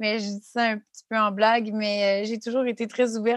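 With a Quebec accent, the voice moves at a moderate pace in a monotone, flat intonation, the sound dry and close with no echo. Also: woman. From Quebec City area. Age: 30s. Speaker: podcast co-host, graduate student, former youth in care. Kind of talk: casual chat and personal testimony.

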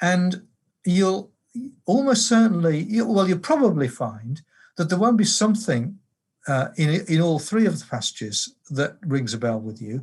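With an English accent, a man talks at a moderate pace in a high pitch with very wide pitch swings, on a very clean recording with a silent background. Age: 70s. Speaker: theology professor and pastor. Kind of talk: interview. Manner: hesitant, many uh and um.

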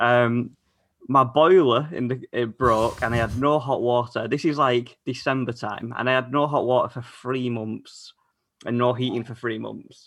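A normal speaking voice from a man, medium in pitch, with fairly even intonation and a moderate pace, in a very clean recording with a silent background. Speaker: guest. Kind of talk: casual chat.

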